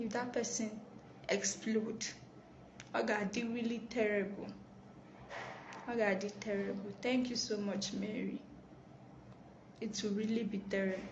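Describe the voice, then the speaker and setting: A quiet woman with a Nigerian accent speaks at a fairly high pitch, monotone and flat, with long, frequent pauses. Noticeable background noise and audible room echo fill the recording. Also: moderate pace. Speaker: live stream host. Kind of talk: live stream talk. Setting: office. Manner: quiet, subdued.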